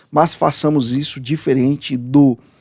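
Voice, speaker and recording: In a dry, close sound with no echo, a man speaks at medium pitch with a dark, mellow tone and fairly even intonation. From Brazil. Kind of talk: commentary video monologue.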